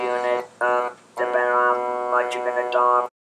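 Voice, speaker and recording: Over music in the background, a man speaks at a medium pitch and a moderate pace. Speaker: laryngectomee. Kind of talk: casual talk to camera.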